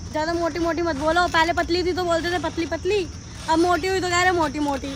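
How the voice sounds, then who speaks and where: A woman's extremely high, monotone, flat voice at a moderate pace, with noticeable background noise. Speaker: vlogger. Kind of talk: casual vlog chat.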